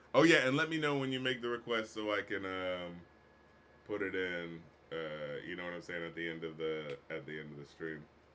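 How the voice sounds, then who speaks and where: Over noticeable background noise, a man speaks at a fairly quick pace in a very deep, low pitch with lively intonation. His loudness swings widely, and he takes long, frequent pauses. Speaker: music critic and rapper. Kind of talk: live stream commentary. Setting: live stream. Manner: slurred speech; animated.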